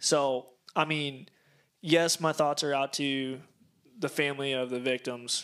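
With an American accent, a man speaks at a moderate pace and a fairly high pitch, his intonation monotone and flat, in a very clean recording with a silent background. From Cedar Rapids, Iowa. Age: 20s. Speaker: podcast co-host. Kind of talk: casual chat.

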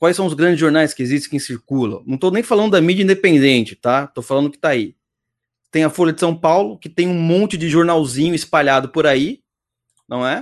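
A man has an ordinary speaking voice with a fairly high pitch. His intonation is lively. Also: fairly quick pace, quiet background. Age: 30s. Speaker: podcast host. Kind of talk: casual chat. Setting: live stream.

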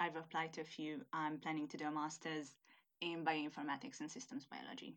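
A woman speaks in a Hungarian accent. Her tone is bright and sharp, at a fairly low pitch. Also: very clean recording, silent background. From Hungary. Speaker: university student, international student. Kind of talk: casual interview chat.

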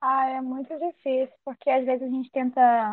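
Here a woman speaks at a high pitch. Her intonation is monotone and flat. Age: 20s. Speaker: member of traditional fishing community. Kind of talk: interview testimony; scripted narration.

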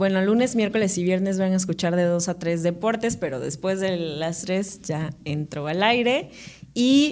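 A woman speaks with a Veracruz Mexican accent. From Mexico, Córdoba, Veracruz. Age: 30s. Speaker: radio presenter and reporter. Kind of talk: casual interview chat.

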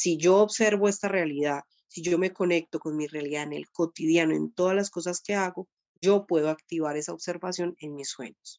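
A woman speaks at a moderate pace in a normal speaking voice, with a fairly low pitch and fairly even intonation. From Colombia. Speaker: dream therapist. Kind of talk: interview, explaining spiritual practice.

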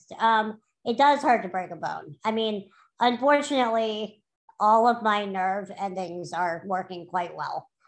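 A woman with an American accent has an unremarkable speaking voice, pitched fairly high. She speaks at a fairly slow pace with lively intonation over a quiet background. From New Orleans, US South. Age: 30s. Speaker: artist and graphic designer. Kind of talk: interview.

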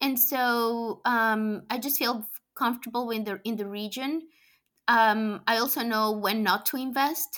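Fairly even intonation and a fairly slow pace come through on a very clean recording with a silent background. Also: woman, fairly high pitch for a woman. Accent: Colombian. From Colombia. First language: Spanish. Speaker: venture capital investor. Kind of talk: interview. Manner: halting.

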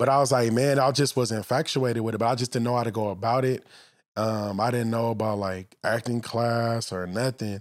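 On a very clean recording with a silent background, a man with an American accent and a plain, everyday voice speaks at a fairly quick pace, medium in pitch, with fairly even intonation. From Los Angeles, San Fernando Valley. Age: 30s. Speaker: actor and former football player. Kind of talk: casual chat. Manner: laid-back.

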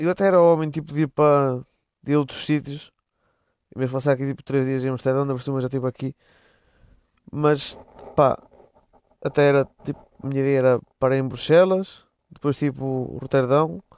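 With a European Portuguese accent, a man speaks at a moderate pace and fairly high pitch, with fairly even intonation, long, frequent pauses and a dry, close sound with no echo. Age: 20s. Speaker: podcaster. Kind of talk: casual solo monologue. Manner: casual, slangy.

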